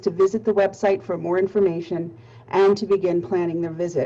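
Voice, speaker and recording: A woman speaks with an American accent and a dark, mellow tone. Her pace is moderate and her pitch varies in an ordinary way. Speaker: nonprofit marketing presenter. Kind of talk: webinar presentation. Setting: webinar.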